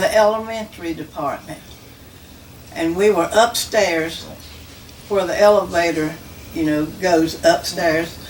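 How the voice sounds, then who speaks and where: With a Southern US accent and a fairly low pitch, a woman talks fairly slowly with long, frequent pauses and ordinary pitch variation, amid audible room echo and noticeable background noise. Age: 80s+. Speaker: church member. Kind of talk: testimony. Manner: halting.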